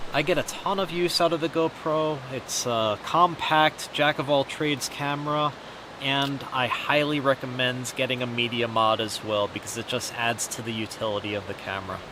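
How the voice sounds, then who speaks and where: The speaker talks at a moderate pace with hardly any pauses and ordinary pitch variation, over noticeable background noise. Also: man, medium pitch for a man. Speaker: travel vlogger. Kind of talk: tutorial. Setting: outdoors. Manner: soft-spoken.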